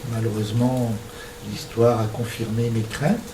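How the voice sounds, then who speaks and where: A man talks at a medium pitch and a fairly slow pace, in a monotone with flat intonation. Audible room echo and noticeable background noise surround his voice. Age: 60s. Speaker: struck-off doctor giving a talk. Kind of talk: lecture. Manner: hesitant, frequent filler sounds.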